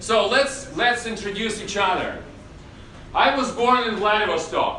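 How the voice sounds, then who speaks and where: In a raised, projected voice, a man talks at an extremely high pitch and a fairly slow pace with ordinary pitch variation. Audible room echo and noticeable background noise come through. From Russia. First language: Russian. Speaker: acting teacher. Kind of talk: masterclass lecture.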